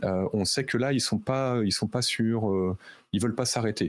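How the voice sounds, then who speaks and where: An unremarkable speaking voice from a man, fairly slow in pace, with ordinary pitch variation. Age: 40s. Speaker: concert producer and author. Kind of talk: casual chat.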